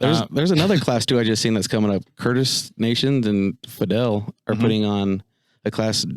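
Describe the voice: A man with a Utah accent, medium pitch, ordinary pitch variation and very even loudness, at a fairly quick pace, in a very clean recording with a silent background and a dry, close sound with no echo.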